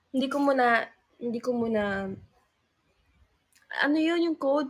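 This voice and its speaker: A woman talks fairly quickly at a high pitch, her pitch varying in an ordinary way. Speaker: livestreamer, singer in a group. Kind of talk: casual livestream chat.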